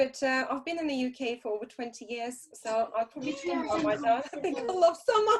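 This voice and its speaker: Speaking fairly quickly with hardly any pauses, a woman with a Russian accent uses a high pitch and lively intonation. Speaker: interpreter and association chair. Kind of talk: online interview. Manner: hesitant with many fillers.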